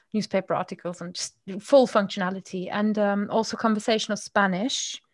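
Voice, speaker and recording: A woman at a medium pitch speaks fairly quickly in a somewhat breathy voice with monotone, flat intonation, on a very clean recording with a silent background. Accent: German. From Germany, Moselle winemaking region. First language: German. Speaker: podcaster and language coach. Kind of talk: casual chat.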